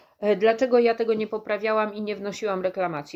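A woman speaks in a monotone, flat intonation. The background is quiet. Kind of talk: casual vlog chat. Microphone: phone near.

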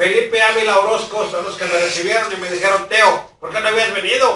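With audible room echo, a man in a raised, projected voice talks at a fairly quick pace with fairly even intonation. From Mexico. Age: 60s. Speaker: local news vlogger. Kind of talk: direct-to-camera public appeal. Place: home room. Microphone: camera far.

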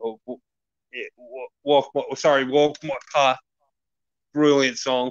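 With an Australian accent, a man talks at a very slow pace with long, frequent pauses, a fairly high pitch, and monotone, flat intonation, in a dry sound with no echo against a quiet background. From Melbourne, Australia. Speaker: metal podcast co-host. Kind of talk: casual chat. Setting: live stream video call. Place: home room. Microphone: video call.

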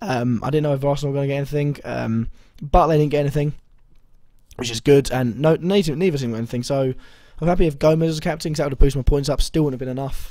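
A dark, mellow tone at a fast pace, with ordinary pitch variation. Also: man, medium pitch for a man.

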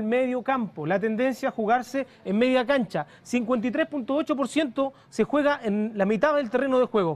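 Speaking at a fairly quick pace with few pauses, a man uses an extremely high pitch and ordinary pitch variation.

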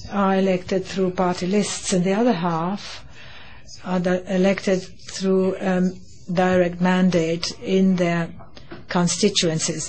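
The voice is somewhat breathy, with monotone, flat intonation and very even loudness at a very slow pace. Light background noise is present. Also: woman. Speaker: conference host or his interpreter. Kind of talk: opening speech. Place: hall. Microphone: podium.

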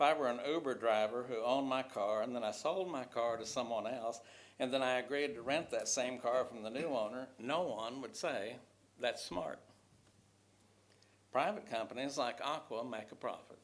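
Pitch variation stays ordinary while the delivery keeps a moderate pace. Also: man, medium pitch for a man. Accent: West Texas. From Texas, Odessa. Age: 70s. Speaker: retired teacher speaking at public comment. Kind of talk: public comment at council meeting. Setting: city council chamber. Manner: formal, prepared statement.

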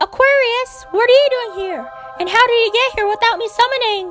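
With clear music in the background, a woman puts on a squeaky character voice at an extremely high pitch, talking at a fairly quick pace. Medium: machinima. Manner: lively, chatty.

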